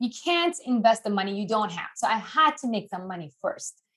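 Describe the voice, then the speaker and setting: A woman's animated, bright and sharp voice, fairly high with very wide pitch swings, in a non-native accent. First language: not English. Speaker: investing educator. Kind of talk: interview.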